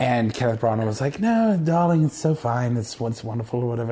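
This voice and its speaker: Over noticeable background noise, a man talks at medium pitch with ordinary pitch variation. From Canada, Saskatchewan (Moose Jaw). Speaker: actor. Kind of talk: casual chat.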